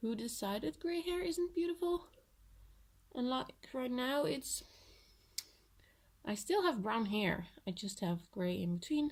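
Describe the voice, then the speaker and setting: Long, frequent pauses break up a woman's high-pitched speech, which moves through very wide pitch swings. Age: 20s. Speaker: vlogger. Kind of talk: casual vlog. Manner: hesitant, with filler words.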